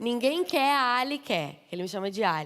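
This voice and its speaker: A woman with a southern Brazilian accent and an animated tone, on a very clean recording with a silent background. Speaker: pastor's wife, guest preacher. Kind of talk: sermon.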